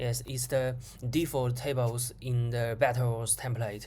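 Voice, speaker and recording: Moderate pace with a non-native accent. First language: not English. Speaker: programmer vlogger. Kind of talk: screen-recorded coding tutorial. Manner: halting, many repetitions.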